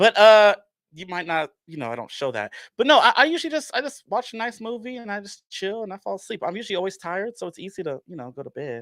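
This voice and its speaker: A man's high, animated voice at a very fast pace, with very wide pitch swings and big swings in loudness in a very clean recording with a silent background. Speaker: horror movie fan, theatre channel creator. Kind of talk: casual chat.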